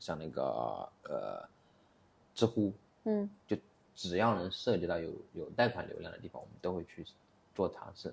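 A man speaks at a moderate pace. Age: 30s. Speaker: e-commerce entrepreneur. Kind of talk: casual interview. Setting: studio.

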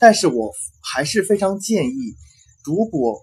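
The man's voice moves in very wide pitch swings. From China. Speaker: recent university graduate, former international student. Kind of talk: interview. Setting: host's home. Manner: halting.

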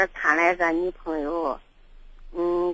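At a very slow pace, a woman speaks in a southern Shaanxi accent. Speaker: caller. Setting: phone call.

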